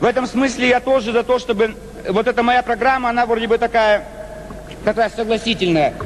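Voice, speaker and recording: An extremely high-pitched man at a fairly quick pace, fairly even in intonation, over noticeable background noise. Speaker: politician. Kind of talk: political speech to parliament. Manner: fast.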